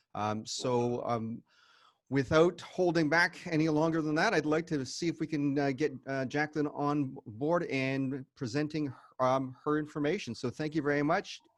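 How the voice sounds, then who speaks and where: Here a man talks at a moderate pace in a plain, everyday voice with a fairly high pitch and ordinary pitch variation. The background is quiet. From Canada. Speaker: networking event host. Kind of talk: event introduction.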